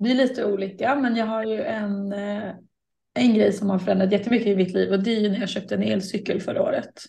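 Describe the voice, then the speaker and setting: A woman's somewhat breathy, dark, mellow voice at a medium pitch, very fast pace and fairly even intonation. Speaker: podcast co-host. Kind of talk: casual chat. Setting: video call.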